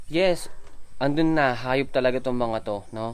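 His pitch varies in an ordinary way. He keeps to a fairly slow pace. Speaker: pig farmer vlogger. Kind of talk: casual vlog chat. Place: farm. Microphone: phone near.

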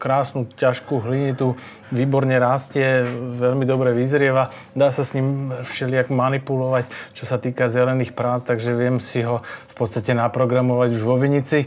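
The voice stays at a moderate pace. Its intonation is flat and monotone. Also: man. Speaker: guest. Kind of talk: interview answer. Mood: relaxed, smiling. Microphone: lapel.

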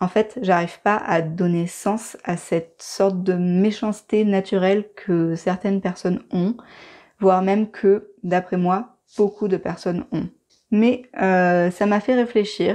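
The voice has a dark, mellow tone and fairly even intonation. Its pace is very slow. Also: woman, quiet background. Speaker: video creator, cooking and herbal channel. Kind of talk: monologue video essay. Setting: recorded voice-over. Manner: annoyed, confessional. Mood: calm, reflective, somewhat hurt. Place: home room.

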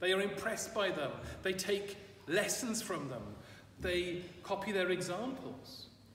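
A man's speech comes through with audible room echo and light background noise. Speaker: priest. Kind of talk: sermon. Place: church. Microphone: camera far.

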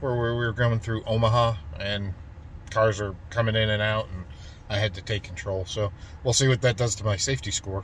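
Over light background noise, a man speaks at a moderate pace in a fairly low, somewhat breathy voice, the sound dry with no echo. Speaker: road trip vlogger. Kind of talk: casual vlog chat. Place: car. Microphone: phone near.

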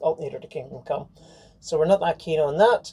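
A woman talks at a very fast pace with ordinary pitch variation. Her tone is dark and mellow, and somewhat breathy. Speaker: liveaboard sailing vlogger. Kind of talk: casual vlog chat. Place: boat. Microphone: camera far.

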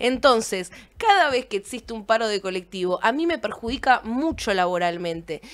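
Against a quiet background, a woman with a Rioplatense accent talks at a fairly quick pace, her pitch swinging very widely. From Argentina, Buenos Aires area; Argentina. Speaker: streaming show host. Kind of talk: casual chat. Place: studio. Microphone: studio mic.

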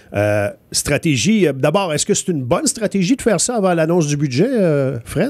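High-pitched with very wide pitch swings, a man talks at a moderate pace against a quiet background. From Quebec. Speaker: morning radio host. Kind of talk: casual radio chat. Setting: radio studio.

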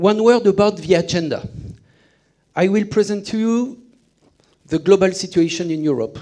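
With long, frequent pauses, a man with a French accent talks at a moderate pace in a high, dark and mellow voice with ordinary pitch variation against a quiet background. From France. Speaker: sales and marketing executive. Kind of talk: conference presentation. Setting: stage with audience. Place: hall. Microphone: headset.

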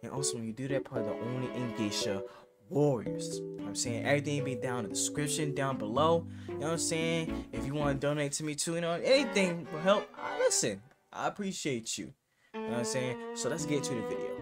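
Loud music plays behind a man who talks at a very fast pace. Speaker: reaction video creator. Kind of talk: casual vlog chat. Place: home room.

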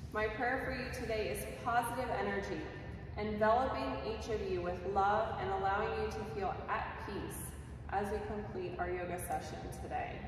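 A woman at a moderate pace amid strong room echo and noticeable background noise. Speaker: yoga instructor. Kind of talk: class instruction. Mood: calm, gentle. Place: empty room. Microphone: camera far.

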